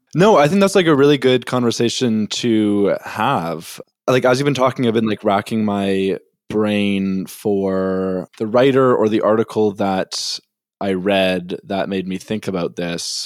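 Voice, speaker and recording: A man with a Canadian accent speaks in a plain, everyday voice, fairly low in pitch with ordinary pitch variation and a fairly slow pace. The recording is very clean with a silent background and a dry, close sound with no echo. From Winnipeg, Canada. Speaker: podcast co-host. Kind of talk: casual chat.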